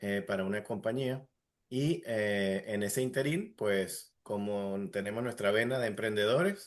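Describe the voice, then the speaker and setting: Against a quiet background, a man with an Andean Venezuelan accent talks slowly-ish at a fairly low pitch. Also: ordinary pitch variation. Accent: Andean Venezuelan (gocho). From Venezuelan Andes (Táchira/Mérida). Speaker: entrepreneur, industrial engineer. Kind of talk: casual interview.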